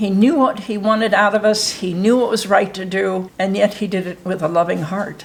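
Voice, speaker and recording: Against noticeable background noise, a woman speaks at a moderate pace and medium pitch with fairly even intonation. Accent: American. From US Midwest, Ohio. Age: 70s. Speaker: interviewer. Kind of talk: casual interview.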